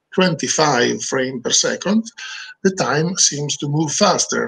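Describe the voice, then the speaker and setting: This man's voice is fairly high. He talks at a fairly slow pace. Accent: Italian. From Italy. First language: Italian. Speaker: video director; webinar presenter. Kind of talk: webinar presentation. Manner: halting. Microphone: video call.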